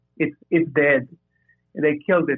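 This man has a fairly high-pitched voice. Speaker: caller. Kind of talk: casual call-in discussion. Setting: phone call. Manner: halting.

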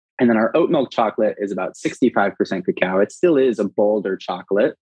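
Speaking at a fairly quick pace, a man with a Californian accent uses a fairly low pitch. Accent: General American (California). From Los Angeles. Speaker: food entrepreneur. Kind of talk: podcast interview.

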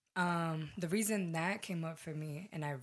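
A plain, everyday voice from a woman, fairly low in pitch, with ordinary pitch variation. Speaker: podcast guest. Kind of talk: casual chat.

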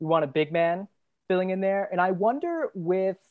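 With a fairly low pitch and ordinary pitch variation, a woman talks at a moderate pace in an ordinary speaking voice. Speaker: guest podcaster, basketball analyst. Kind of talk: casual sports debate.

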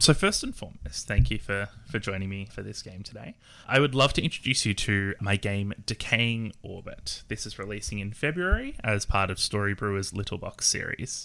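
Recorded very cleanly against a silent background, a man with an Australian accent speaks at a moderate pace and fairly low pitch, his tone bright and sharp, his intonation lively and his loudness swinging widely. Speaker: game designer and player. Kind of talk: tabletop roleplaying game session.

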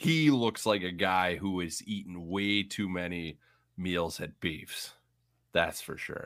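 A man with a central Illinois accent speaks at a very slow pace. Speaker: podcast co-host, Bears fan. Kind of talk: casual chat. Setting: video call.

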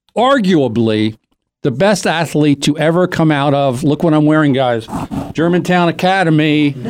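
A man's normal speaking voice, fairly high in pitch, with very even loudness, ordinary pitch variation and a moderate pace. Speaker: radio host. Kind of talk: radio interview banter.

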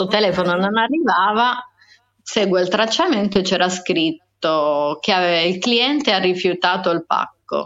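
A woman speaks in a plain, everyday voice at a medium pitch and a fairly slow pace. Her loudness is very even and her pitch varies an ordinary amount. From Sardinia. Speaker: podcast guest. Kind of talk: casual chat.

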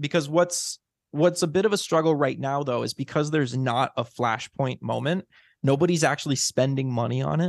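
A man with an unremarkable speaking voice and an American accent talks at a moderate pace, fairly high in pitch with ordinary pitch variation, in a dry, close sound with no echo. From US Midwest, Illinois. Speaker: podcast host. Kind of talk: casual interview. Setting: remote call.

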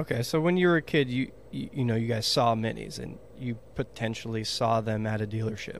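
A man speaks in a normal speaking voice at a medium pitch, with ordinary pitch variation and hardly any pauses. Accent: American. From Texas. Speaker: podcast host. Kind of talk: casual chat. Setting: video call.

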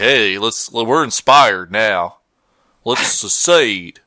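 Doing a put-on character voice in a Texan accent, a man speaks at a very slow pace with a raspy sound at medium pitch. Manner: mocking.

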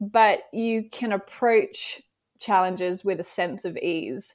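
A woman with an Australian accent talks at a very slow pace and a fairly high pitch. The recording is very clean, with a silent background. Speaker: business founder and podcast host. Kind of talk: casual interview chat.

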